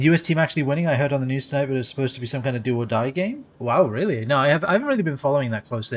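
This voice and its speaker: A man with a British accent speaks with lively intonation in a fairly high pitch. Noticeable background noise sits behind him. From England. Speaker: video game streamer. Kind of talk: casual live-stream chat. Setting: live stream. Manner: halting, with many fillers and repeats.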